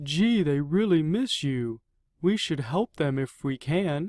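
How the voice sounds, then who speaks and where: His pitch is fairly high. The man uses a put-on character voice. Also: fairly slow pace. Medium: read story. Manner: warm, supportive.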